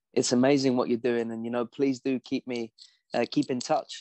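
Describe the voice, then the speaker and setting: In an English accent, a man speaks at a medium pitch and moderate pace with monotone, flat intonation, in a dry, close sound with no echo against a quiet background. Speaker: performance psychology coach. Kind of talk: interview.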